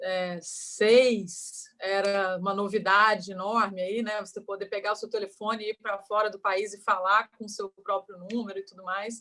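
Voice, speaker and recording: With hardly any pauses, a woman talks at a moderate pace and medium pitch in a bright, sharp tone, her loudness swinging widely. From Brazil, Rio de Janeiro (born in Goiás). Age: 30s. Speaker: entrepreneur. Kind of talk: interview.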